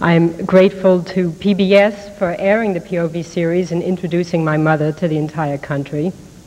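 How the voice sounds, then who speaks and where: A woman speaks with a fairly low pitch and fairly even intonation. She moves at a fairly quick pace with hardly any pauses. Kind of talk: acceptance speech. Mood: grateful, moved. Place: hall. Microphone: podium.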